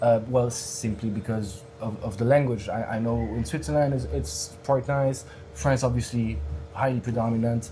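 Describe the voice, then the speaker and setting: A man with a French accent speaks at a moderate pace with lively intonation. There is audible room echo and music in the background. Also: medium pitch for a man. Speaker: stand-up comedian. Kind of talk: casual interview chat. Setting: bar cellar podcast recording. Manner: halting, many fillers and repeats.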